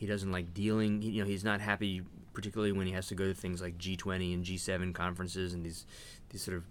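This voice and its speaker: In a room with audible echo, a man with an American accent and a very deep, low pitch speaks at a very fast pace in a monotone, flat intonation. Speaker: retired diplomat. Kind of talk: interview.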